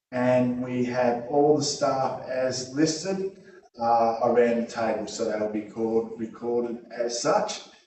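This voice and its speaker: A man in an Australian accent, medium-pitched with ordinary pitch variation, at a fairly slow pace amid audible room echo. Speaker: meeting chair. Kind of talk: formal meeting proceedings.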